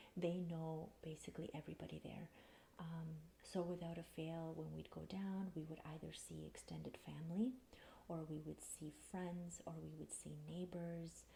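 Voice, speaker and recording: This soft-spoken woman has a calm tone and talks at a moderate pace. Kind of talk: soft spoken ASMR. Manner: soft-spoken, calm.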